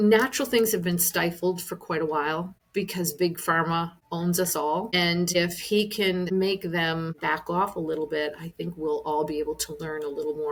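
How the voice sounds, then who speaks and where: A woman with a fairly low pitch speaks at a moderate pace with hardly any pauses, noticeable background noise behind her. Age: 60s. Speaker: wellness business owner. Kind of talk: podcast interview answer.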